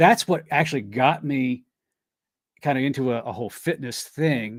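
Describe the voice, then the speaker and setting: A man with an American accent talks at a moderate pace in a medium pitch, an unremarkable speaking voice. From Delaware, US. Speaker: health coach. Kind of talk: interview.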